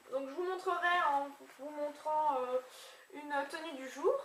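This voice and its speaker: With noticeable background noise and audible room echo, a woman speaks at a high pitch with ordinary pitch variation. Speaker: beauty vlogger. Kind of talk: casual haul video. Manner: animated.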